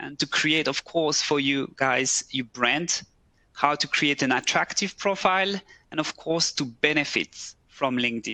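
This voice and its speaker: A man with a French accent and a fairly high voice speaks at a fairly slow pace with ordinary pitch variation and a bright, sharp tone, the sound dry and close with no echo against a quiet background. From French-speaking Switzerland, Neuchâtel. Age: 30s. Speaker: recruiter. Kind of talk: webcast presentation. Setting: office. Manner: halting.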